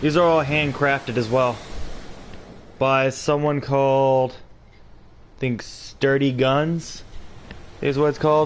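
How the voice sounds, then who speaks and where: The speech is quiet and monotone, with flat intonation. It moves at a very slow pace, broken by long, frequent pauses. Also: man, fairly high pitch for a man. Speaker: video game streamer. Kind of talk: livestream chat. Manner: trying to speak quietly.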